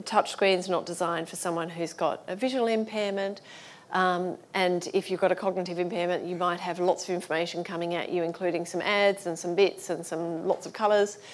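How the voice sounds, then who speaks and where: Fairly low-pitched woman with an Australian accent and monotone, flat intonation. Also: fairly quick pace. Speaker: accessibility consultant. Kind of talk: conference talk. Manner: fast.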